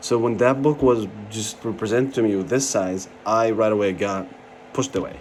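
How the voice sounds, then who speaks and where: With an Arabic accent, a man speaks at a medium pitch with fairly even intonation. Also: moderate pace. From Jordan. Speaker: pharmacy license candidate, vlogger. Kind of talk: personal review vlog. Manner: casual, hesitant with fillers.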